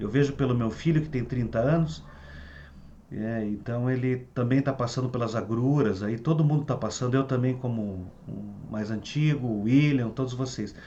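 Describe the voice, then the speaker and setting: A somewhat breathy man talks at a moderate pace with lively intonation. Audible room echo is present. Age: 60s. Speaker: Ayurveda therapist and teacher. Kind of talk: online talk to students. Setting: video call. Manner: halting with repetitions.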